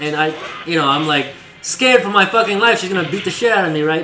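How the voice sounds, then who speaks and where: Music plays in the background as a man speaks very fast with ordinary pitch variation, his voice carrying audible room echo. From East Asia, moved to US as child. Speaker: streamer. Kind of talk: casual chat. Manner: halting.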